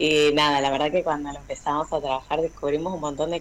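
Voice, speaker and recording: A woman talks at a moderate pace. Her pitch is very deep and low, with ordinary variation. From Argentina, Buenos Aires south zone. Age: 30s. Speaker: teacher of deaf students. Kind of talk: testimony.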